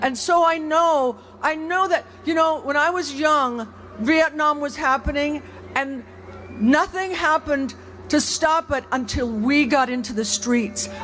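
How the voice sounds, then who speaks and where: Noticeable background noise surrounds speech delivered fairly slowly. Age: 70s. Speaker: rally speaker. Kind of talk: protest speech. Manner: halting.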